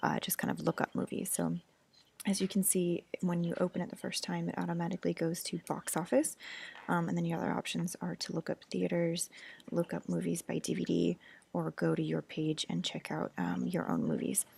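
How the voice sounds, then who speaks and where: Quiet and at a fairly quick pace, a woman speaks in a very clean recording with a silent background and a dry, close sound with no echo. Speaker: university student. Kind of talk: class presentation. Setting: library. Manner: hesitant.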